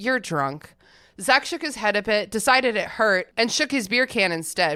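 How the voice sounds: Lively intonation in a natural reading voice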